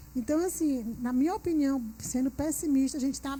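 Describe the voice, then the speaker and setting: A woman speaks at a moderate pace in a Piauí accent. Her voice is high-pitched, with a dark, mellow tone. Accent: Piauí northeastern Brazilian. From Piauí, northeastern Brazil. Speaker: panelist, innovation speaker. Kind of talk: panel discussion.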